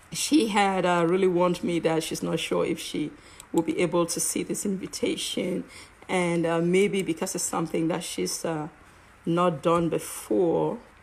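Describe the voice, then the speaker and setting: A woman with a strong Cameroonian accent, fairly low pitch and ordinary pitch variation, at a moderate pace. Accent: heavy African (Cameroonian). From Cameroon, English-speaking side. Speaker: network marketer and live-stream host. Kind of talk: live stream monologue. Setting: live online broadcast. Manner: halting, many fillers.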